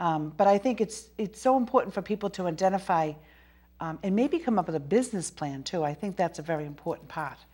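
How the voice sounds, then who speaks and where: A woman talks at a very fast pace in a Boston accent. Her voice sits at medium pitch with a dark, mellow tone. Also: lively intonation. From Boston area. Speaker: talk show host. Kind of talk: interview.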